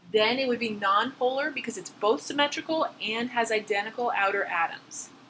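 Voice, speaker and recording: A woman speaks at a fairly quick pace with a fairly high pitch and lively intonation, over noticeable background noise. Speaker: chemistry instructor. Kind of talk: lecture.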